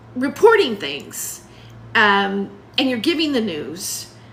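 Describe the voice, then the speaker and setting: A woman with a high pitch speaks at a very slow pace in a raised, projected voice. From US West Coast. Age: 60s. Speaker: stand-up comedian and student. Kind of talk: casual livestream monologue. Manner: halting, many fillers.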